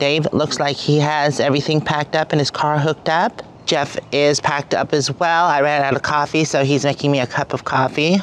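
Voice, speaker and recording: The speech runs on with hardly any pauses. Light background noise can be heard. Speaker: RV travel vlogger. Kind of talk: casual vlog chat. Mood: cheerful, relaxed. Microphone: phone near.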